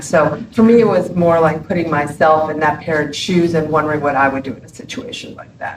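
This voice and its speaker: Amid noticeable background noise and audible room echo, a woman with a very deep, low pitch speaks at a fairly quick pace. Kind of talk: panel discussion. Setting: stage with audience. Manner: loud.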